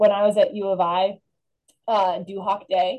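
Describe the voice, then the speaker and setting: A woman's medium-pitched voice with a Midwestern American accent. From northern Illinois, Rockford area. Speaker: alumna, former missionary. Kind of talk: interview.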